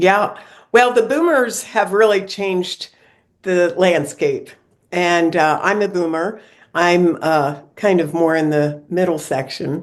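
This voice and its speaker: With an American accent, a woman speaks very slowly in a fairly low pitch, using ordinary pitch variation. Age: 70s. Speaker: senior living consultant. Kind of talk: interview.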